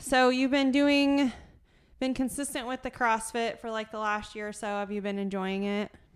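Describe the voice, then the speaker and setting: Speaking at a moderate pace, a woman with a fairly high pitch keeps her intonation fairly even. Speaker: podcast host and gym coach. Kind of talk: casual chat. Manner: loud, talkative.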